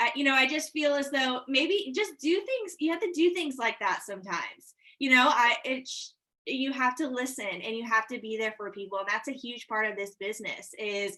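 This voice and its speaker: Raised and projected, a woman's high voice has a bright, sharp tone and lively intonation. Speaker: real estate agent. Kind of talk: casual group video call about sales tips. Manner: fast.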